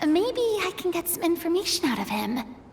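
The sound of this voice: Putting on a character voice, a woman speaks at a fairly quick pace in an extremely high pitch with vocal fry and big pitch swings, over faint background noise.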